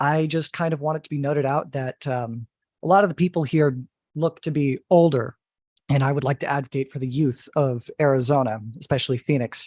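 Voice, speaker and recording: In a put-on character voice, a man talks at a fairly quick pace with fairly even intonation, sounding shaky, his pitch fairly high, recorded with a dry, close sound with no echo against a quiet background. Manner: nervous, shaky.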